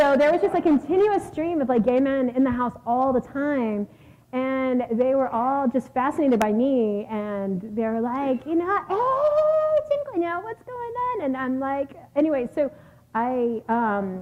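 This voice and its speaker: Speaking slowly with an American accent, a woman with a high pitch uses an animated tone and lively intonation against noticeable background noise. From South Texas, Corpus Christi. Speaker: author. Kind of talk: Q&A answer at book talk. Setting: stage with audience.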